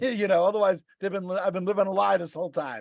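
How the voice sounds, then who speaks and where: A man speaks very fast with a Boston accent. His pitch is high, with ordinary pitch variation. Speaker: podcast co-host and rideshare driver. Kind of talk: casual chat. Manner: halting.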